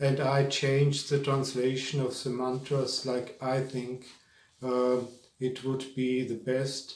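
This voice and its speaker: A man with a German accent talks at a very slow pace, with audible room echo. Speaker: spiritual teacher. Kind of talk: lecture. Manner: halting.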